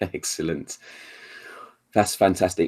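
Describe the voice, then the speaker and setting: Speaking at a fairly quick pace, a man with an English accent has a dark, mellow tone. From England. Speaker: talk show host. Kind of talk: casual chat.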